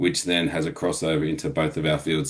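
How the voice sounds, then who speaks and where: A very deep, low-pitched man with an Australian accent, speaking at a fairly quick pace. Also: quiet background. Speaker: physiotherapist. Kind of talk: webinar discussion. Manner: fast.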